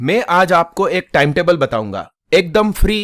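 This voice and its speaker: A man's high-pitched voice with lively intonation, on a very clean recording against a silent background. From Gujarat, India. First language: Gujarati (speaking Hindi). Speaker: coaching teacher. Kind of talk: motivational talk.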